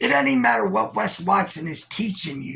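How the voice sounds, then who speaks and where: The voice has a bright, sharp tone and an American accent. It moves at a moderate pace with very wide pitch swings. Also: man. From Virginia, US. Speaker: YouTuber and internet radio host. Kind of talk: casual reaction commentary. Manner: rambling, casual with profanity.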